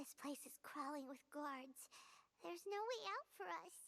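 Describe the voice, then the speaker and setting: A high, put-on character voice swings very widely in pitch. It moves along at a moderate pace. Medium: video game. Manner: emotional, exclamatory.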